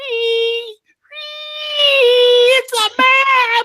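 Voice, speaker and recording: An extremely high, squeaky and shrill put-on character voice speaks in a monotone with flat intonation. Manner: screaming in shock.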